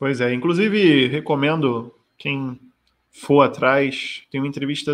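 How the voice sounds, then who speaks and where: Speaking at a fairly slow pace, a man with a fairly high pitch uses a plain, everyday voice. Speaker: podcast host. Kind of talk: casual chat.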